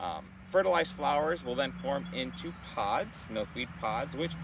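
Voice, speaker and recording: A man at a fairly slow pace, dry sound with no echo, over noticeable background noise. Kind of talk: educational presentation. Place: open country. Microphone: lapel.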